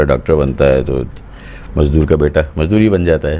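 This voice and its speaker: A man with a very deep, low pitch speaks at a moderate pace. Noticeable background noise runs underneath. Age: 60s. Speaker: drama and children's story writer. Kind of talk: interview.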